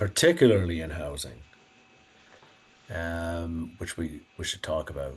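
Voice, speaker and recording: The man's voice is very deep and low. It sounds somewhat breathy. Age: 60s. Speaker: author and economics commentator. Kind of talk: podcast interview. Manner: conversational, with fillers and restarts.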